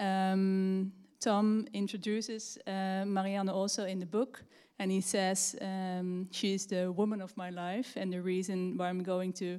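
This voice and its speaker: A woman's dark, mellow tone, flat and monotone, at a fairly slow pace in a very clean recording with a silent background. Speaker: event organizer. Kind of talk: announcement. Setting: library hall.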